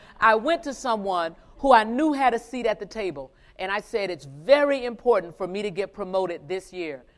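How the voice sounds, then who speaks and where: A woman with an American accent speaks at a fairly quick pace in a normal speaking voice, her medium pitch carried by lively intonation. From US South. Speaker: finance executive giving keynote. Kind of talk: motivational keynote speech. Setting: stage with live conference audience.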